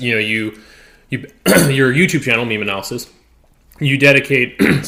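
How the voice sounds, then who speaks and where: A man puts on a raspy character voice at medium pitch. He speaks at a moderate pace. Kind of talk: interview, conversational. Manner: speaking with food in the mouth.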